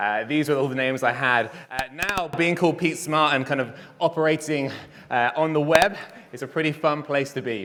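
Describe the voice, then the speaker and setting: A man speaks with an English accent. His tone is animated. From England. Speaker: conference speaker. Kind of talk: conference talk. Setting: stage with audience.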